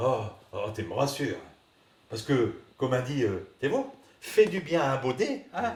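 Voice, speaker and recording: Somewhat breathy, a man with a northern French accent speaks at a fairly slow pace. His pitch is fairly high, with very wide pitch swings. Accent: northern French Ch'ti. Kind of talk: comic sketch dialogue. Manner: hesitant, rambling.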